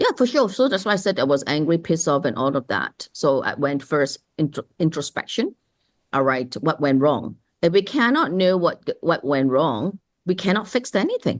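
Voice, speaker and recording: Recorded dry and close with no echo, a woman with a fairly low pitch moves through very wide pitch swings at a moderate pace while her loudness stays very even. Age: 60s. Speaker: author and success coach. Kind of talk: interview conversation. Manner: animated.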